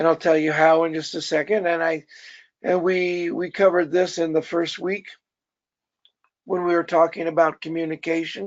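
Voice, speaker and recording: A man speaks at a high pitch and a moderate pace. His intonation is monotone and flat, with long, frequent pauses. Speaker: pastor. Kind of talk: teaching a class.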